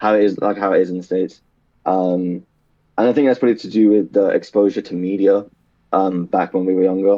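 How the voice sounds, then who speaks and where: Speaking with a British accent, a man keeps a fairly quick pace, fairly low pitch and fairly even intonation. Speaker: podcast guest. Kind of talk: casual chat. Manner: fast; slurred words.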